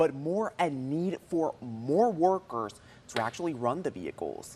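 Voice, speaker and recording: A man talks at a moderate pace in a normal speaking voice with lively intonation. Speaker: TV news reporter and fill-in anchor. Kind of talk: local TV news anchor and reporter delivery.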